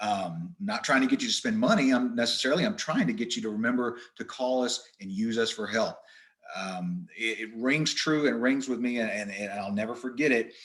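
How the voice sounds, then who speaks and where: This man talks at a fairly quick pace, with a medium pitch and lively intonation. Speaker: wildlife management presenter. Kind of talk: webinar presentation. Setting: online webinar. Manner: fast.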